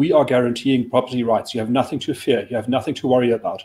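A man speaks with a dark, mellow tone at medium pitch. His pitch variation is ordinary. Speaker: think tank chief of staff; guest. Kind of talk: current affairs discussion. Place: office. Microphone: video call.

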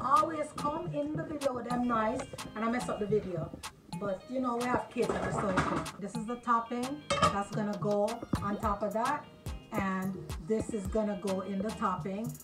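Clear music plays in the background. A woman speaks at a moderate pace with ordinary pitch variation and long, frequent pauses. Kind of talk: cooking tutorial. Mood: relaxed, humorous. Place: kitchen. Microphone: camera far.

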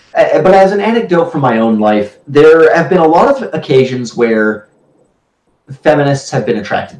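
A man's fairly high voice at a moderate pace, with very wide pitch swings, big swings in loudness and audible room echo. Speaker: book discussion host. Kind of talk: casual discussion, partly reading aloud. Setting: live stream. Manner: hesitant. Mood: wry, anecdotal. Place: home room. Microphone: video call.

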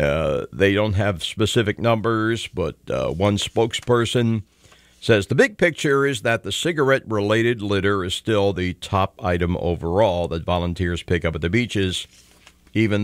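This man has a plain, everyday voice with a fairly low pitch and ordinary pitch variation, speaking at a moderate pace in a dry sound with no echo against a quiet background. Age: 60s. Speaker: talk radio host. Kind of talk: call-in talk radio. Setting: radio studio. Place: studio.

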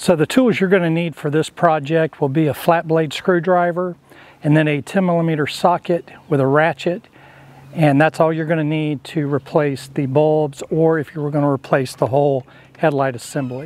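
The voice moves at a moderate pace with fairly even intonation, and the sound is dry with no echo. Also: man. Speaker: DIY video host. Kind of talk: tutorial. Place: garden. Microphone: lapel.

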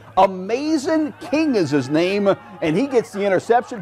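Over noticeable background noise, a man speaks at a fairly slow pace. His tone is animated and excited, with very wide pitch swings. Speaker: sports broadcaster. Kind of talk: live sports commentary over game highlights. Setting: TV studio sports show. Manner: animated, excited play-by-play delivery.

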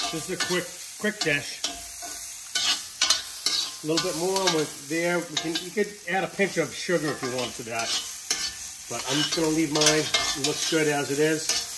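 Loud background noise surrounds speech at a moderate pace broken by long, frequent pauses. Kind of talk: casual cooking tutorial chat. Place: kitchen. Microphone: phone near.

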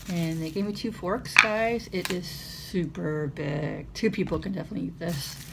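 Loud background noise fills the recording. Through it, a woman speaks at a moderate pace. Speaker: vlogger. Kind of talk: casual vlog chat. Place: home room. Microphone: phone near.

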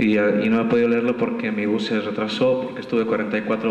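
A man speaks at a moderate pace, with audible room echo and light background noise around him. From Bolivia. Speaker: poet. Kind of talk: poetry reading at a festival, after a casual joking intro. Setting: stage with audience. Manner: rhythmic, staccato listing of images in the poem. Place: hall. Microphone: camera far.

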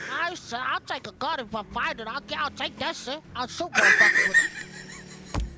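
High pitch at a moderate pace over loud background noise. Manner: boastful, slangy, dopey.

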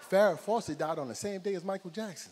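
A man speaks with an animated tone and lively intonation. His pace is fairly quick. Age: 40s. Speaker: stand-up comedian. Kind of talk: stand-up. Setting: stage with audience. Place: stage. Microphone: handheld.

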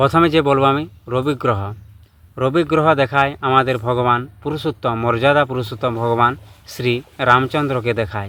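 With fairly even intonation and a medium pitch, a man has an unremarkable speaking voice. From West Bengal, Bankura district. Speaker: astrologer. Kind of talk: astrology talk to camera.

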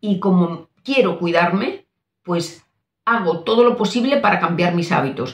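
Somewhat breathy and fairly low-pitched, a woman speaks at a fairly slow pace, with a quiet background and audible room echo. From Spain. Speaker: doctor and nutrition coach; nutrition coach. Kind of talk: casual talk to camera. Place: home room.

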